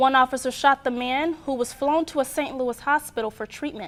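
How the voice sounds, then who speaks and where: A woman's high-pitched voice keeps a fairly even intonation. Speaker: student news producer and anchor. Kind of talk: television newscast anchor read.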